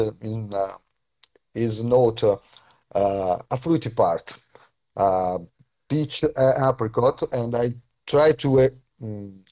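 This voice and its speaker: In an Italian accent, a man speaks fairly slowly at a medium pitch with ordinary pitch variation and a dark, mellow tone. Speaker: perfumer. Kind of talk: live stream interview. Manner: halting.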